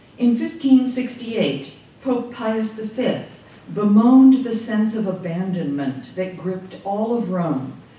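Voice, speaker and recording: Her pitch swings very widely as the woman speaks at a very slow pace, with audible room echo. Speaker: invited lecturer. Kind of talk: lecture. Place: hall.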